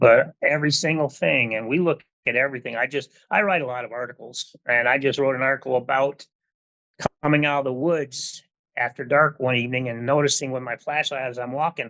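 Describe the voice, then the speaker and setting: A man's medium-pitched voice with an American accent, fairly quick pace, fairly even intonation, an unremarkable speaking voice. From Southern Michigan. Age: 60s. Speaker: retired hunting safety instructor. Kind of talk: podcast interview.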